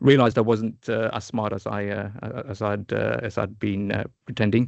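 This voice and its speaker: With a southern English accent, a man talks at a moderate pace in a fairly low pitch, using fairly even intonation and some vocal fry. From England, Luton. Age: 40s. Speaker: startup founder and product manager. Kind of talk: podcast interview. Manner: halting, many fillers and repeats.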